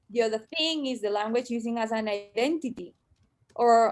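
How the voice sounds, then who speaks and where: A woman with a Spanish accent, fairly high in pitch, at a moderate pace with ordinary pitch variation. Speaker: panelist on Chinese diaspora in Spain. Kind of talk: panel discussion. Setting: video call.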